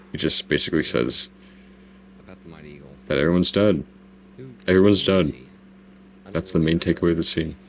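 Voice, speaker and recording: Using long, frequent pauses, a man with an American accent talks at a very deep, low pitch with vocal fry. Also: fairly even intonation, fairly quick pace. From US South (Southeast). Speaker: YouTuber giving director's commentary. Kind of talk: video commentary, casual. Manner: casual, repetitive self-corrections.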